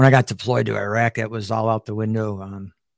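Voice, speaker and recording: A man's medium-pitched voice in a Chicago accent, fairly quick in pace with fairly even intonation, dry and close with no echo, on a very clean recording with a silent background. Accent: Chicago American. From Chicago, South Side. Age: 40s. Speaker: military veteran and podcaster. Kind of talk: casual interview.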